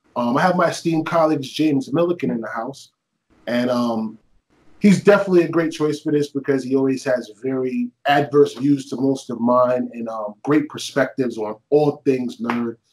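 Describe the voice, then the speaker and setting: The pace is moderate. A man is talking, with ordinary pitch variation. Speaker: show host. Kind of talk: casual podcast intro. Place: home room. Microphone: webcam.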